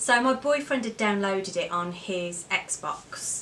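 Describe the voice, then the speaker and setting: A woman speaks at a medium pitch with lively intonation. Noticeable background noise sits behind her. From Wolverhampton, England. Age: 30s. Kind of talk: casual talk to camera.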